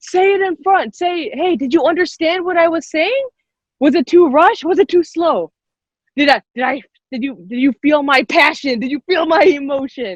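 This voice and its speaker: A woman at a moderate pace with a high pitch and lively intonation, in a dry, close sound with no echo. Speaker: workshop instructor. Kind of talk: online workshop teaching. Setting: video call.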